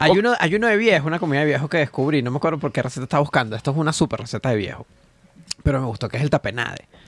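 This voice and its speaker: A man at a fairly high pitch, very fast pace and lively intonation, in a dry sound with no echo. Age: 30s. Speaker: comedian. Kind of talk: casual chat. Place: studio. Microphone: studio mic.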